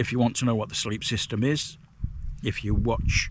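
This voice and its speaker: This man talks at a medium pitch with ordinary pitch variation and some vocal fry. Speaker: hiking and wild camping vlogger. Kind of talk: casual vlog monologue. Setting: outdoors, wild camp on moors. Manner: hesitant, many fillers; speaking quietly.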